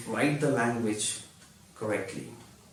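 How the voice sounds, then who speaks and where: Background noise is noticeable and room echo audible as this man talks, his pitch varying normally. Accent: non-native. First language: not English. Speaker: YouTuber teaching English. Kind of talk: tutorial.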